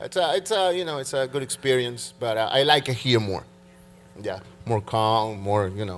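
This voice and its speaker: At a moderate pace, a man speaks, his intonation lively. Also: medium pitch for a man. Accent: Spanish. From Peru. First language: Spanish. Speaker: church worship leader, keyboard player. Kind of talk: church interview. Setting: church stage with congregation. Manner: halting.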